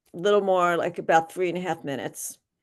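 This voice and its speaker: A woman with a Philadelphia accent at medium pitch, fairly even intonation, and a quiet background. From Philadelphia, US. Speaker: workshop facilitator. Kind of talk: online workshop talk. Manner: halting, many fillers and restarts.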